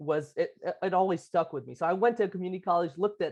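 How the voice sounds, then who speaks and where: With a Lebanese accent, a man talks with ordinary pitch variation against a quiet background. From Lebanon. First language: Arabic. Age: 20s. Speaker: architect, business owner. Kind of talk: interview. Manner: halting.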